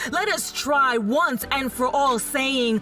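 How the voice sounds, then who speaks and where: A woman talks at a very slow pace, her pitch high. Music plays in the background. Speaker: podcast storyteller / reader. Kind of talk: spoken-word reading of quotes as a speech.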